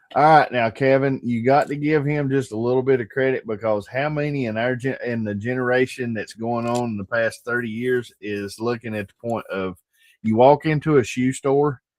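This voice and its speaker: A man speaks in a normal speaking voice at medium pitch, with fairly even intonation. His pace is moderate with hardly any pauses, over a quiet background. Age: 50s. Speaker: streamer hosting birthday hangout. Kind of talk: casual chat.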